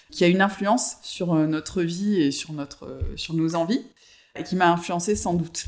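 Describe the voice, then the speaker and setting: There is noticeable background noise as a man talks at a moderate pace. His pitch is high, with ordinary variation. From southern France, Avignon. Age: 30s. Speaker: fashion entrepreneur. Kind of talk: interview. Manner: hesitant, many fillers.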